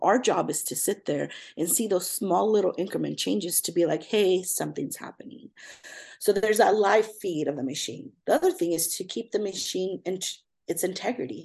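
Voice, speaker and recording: A woman talks at a fairly quick pace with an American accent. Her intonation is lively, and vocal fry runs through her voice. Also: quiet background. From Southern California. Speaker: pediatric ECMO nurse. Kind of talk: casual interview.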